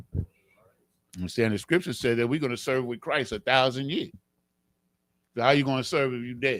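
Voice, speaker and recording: Pausing long and often, a man talks at a fairly quick pace in a medium pitch with ordinary pitch variation. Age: 60s. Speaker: religious teacher. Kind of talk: religious class teaching. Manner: animated.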